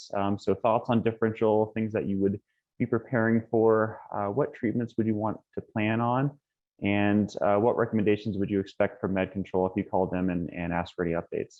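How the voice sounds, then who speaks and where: This man talks at a fairly quick pace with an American accent. His pitch sits fairly low. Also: fairly even intonation. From Texas. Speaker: pediatric emergency physician. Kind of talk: lecture. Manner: soft-spoken, tends to mumble.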